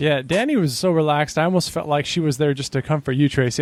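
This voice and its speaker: This man talks at a very fast pace with an American accent. His pitch is fairly high, with ordinary variation. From not Boston. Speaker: podcast host. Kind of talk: interview.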